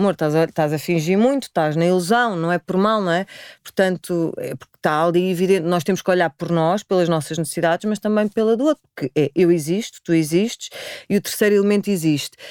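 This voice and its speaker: A woman speaks with a plain, everyday voice, fairly low in pitch for a woman, with ordinary pitch variation. Her pace is fairly quick, and the sound is dry and close with no echo. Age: 40s. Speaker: spiritual practitioner. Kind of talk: interview conversation.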